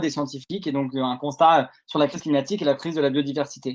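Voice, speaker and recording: An unremarkable speaking voice belongs to a man talking at a moderate pace. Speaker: activist video host. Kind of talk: panel discussion. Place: home room.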